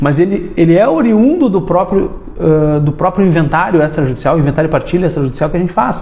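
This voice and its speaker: A high-pitched man speaks at a very fast pace, with noticeable background noise in the mix. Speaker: lawyer. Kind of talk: live stream talk to lawyers. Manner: hesitant, many fillers.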